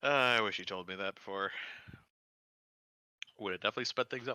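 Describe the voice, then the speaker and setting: A man puts on a raspy character voice pitched fairly low. He rattles it off at a very fast pace. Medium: actual play. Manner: blunt, wary.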